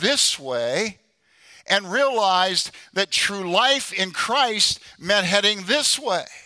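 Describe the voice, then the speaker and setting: A man with a high pitch speaks at a very slow pace in a raised, projected voice, his tone bright and sharp and his intonation lively. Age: 70s. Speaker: preacher, former pro football player. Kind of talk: sermon. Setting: church.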